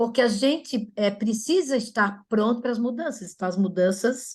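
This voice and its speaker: Against a quiet background, a woman speaks in a fairly high, somewhat breathy voice. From Florianópolis, southern Brazil. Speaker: orthodontist. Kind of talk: webinar presentation. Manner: animated.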